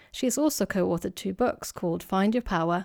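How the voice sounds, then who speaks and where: At a fairly quick pace, a woman of medium pitch talks with a Swedish accent in a very clean recording with a silent background and a dry, close sound with no echo. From Sweden. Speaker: clinical psychologist and podcast host. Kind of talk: scripted introduction.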